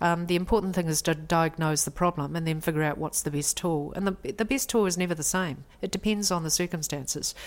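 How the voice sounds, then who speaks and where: A woman with a New Zealand accent speaks fairly quickly at a fairly low pitch, with ordinary pitch variation and hardly any pauses. The recording is very clean, with a silent background. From New Zealand, raised in Taiwanese household. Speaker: lawyer. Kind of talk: interview.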